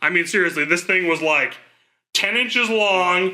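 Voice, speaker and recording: The voice is raised and projected, with a bright, sharp tone. Its intonation stays fairly even. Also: man. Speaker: podcast co-host. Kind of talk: casual chat. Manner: loud.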